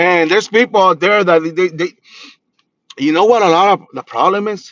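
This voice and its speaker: Speaking with a Spanish accent and an animated tone, a man at a high pitch and moderate pace shows ordinary pitch variation, recorded dry and close with no echo. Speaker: spiritual practitioner and reader. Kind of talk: livestream talk.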